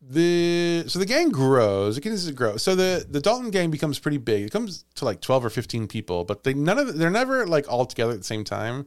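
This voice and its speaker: Barely pausing, a man with a fairly high pitch speaks at a fairly quick pace across very wide pitch swings. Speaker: podcast host and storyteller. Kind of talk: casual chat with storytelling.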